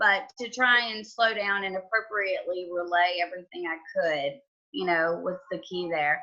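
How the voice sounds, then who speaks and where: With a strong Southern US accent, a woman speaks at a moderate pace and medium pitch with ordinary pitch variation. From US South, Georgia. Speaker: home inspector. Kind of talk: podcast interview.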